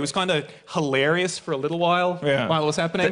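The speaker has an Australian accent and a fairly quick pace. Light background noise can be heard. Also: man. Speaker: audience member on stage at live show. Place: stage.

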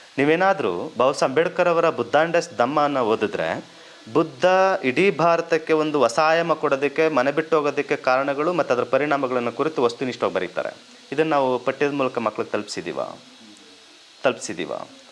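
Using a normal speaking voice, a man talks at a fairly high pitch, his pitch varying in an ordinary way. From Karnataka, Mysuru district (Periyapatna). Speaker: history professor. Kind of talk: lecture-style talk.

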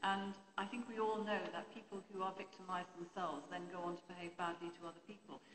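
With a British accent, the speaker rushes along at a very fast pace with fairly even intonation and hardly any pauses, over noticeable background noise. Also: woman. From England. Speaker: press reform campaigner. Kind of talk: panel Q&A. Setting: stage with audience. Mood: earnest, argumentative. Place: hall. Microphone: handheld.

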